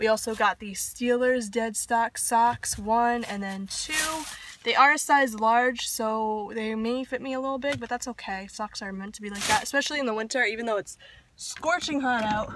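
Noticeable background noise surrounds a woman speaking at a moderate pace with ordinary pitch variation. Her loudness swings widely, and the sound is dry with no echo. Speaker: vlogger. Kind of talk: casual vlog chat. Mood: relaxed and pleased. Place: car. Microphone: phone near.

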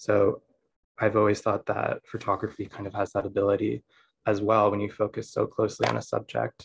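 A man talks at a fairly quick pace with an American accent. The background is quiet. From USA. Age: 20s. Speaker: photographer. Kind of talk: lecture. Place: home room. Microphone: video call.

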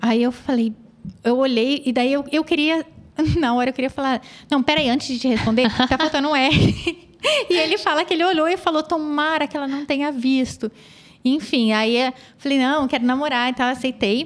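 This woman talks in a high pitch at a moderate pace, and her pitch varies in an ordinary way. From interior of São Paulo state, Brazil. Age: 30s. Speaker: children's photographer. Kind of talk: interview, life story.

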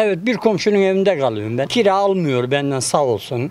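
The sound is dry, with no echo. A man speaks in a high voice. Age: 70s. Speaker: construction worker, earthquake survivor. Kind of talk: interview answer. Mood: weary, complaining about hardship. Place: street. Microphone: handheld.

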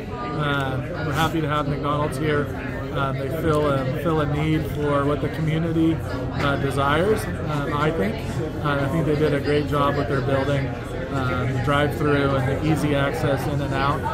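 A man talking with hardly any pauses over loud background noise. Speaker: chamber of commerce president. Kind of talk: welcome speech at ribbon cutting. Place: cafe. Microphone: phone near.

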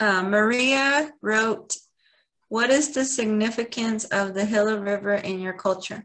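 A woman with an ordinary speaking voice and an American accent speaks fairly slowly at a fairly high pitch with ordinary pitch variation. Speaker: nonprofit board member and webinar moderator. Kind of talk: webinar moderation. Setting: video call.

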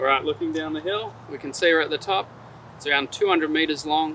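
A man speaks in a dry sound with no echo, over light background noise. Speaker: presenter. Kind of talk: product presentation to camera. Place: forest.

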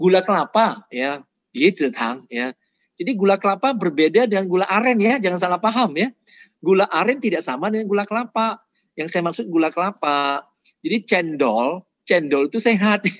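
At a fairly quick pace, a man speaks high-pitched with very wide pitch swings, in a dry sound with no echo and a quiet background. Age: 50s. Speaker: nutrition doctor and vegan advocate; speaker. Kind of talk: health lecture. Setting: online webinar. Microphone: video call.

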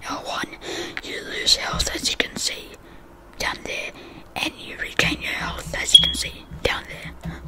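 Whispering from a man at a fairly slow pace, with noticeable background noise. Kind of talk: casual gaming commentary with ASMR soft-spoken style. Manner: soft-spoken.

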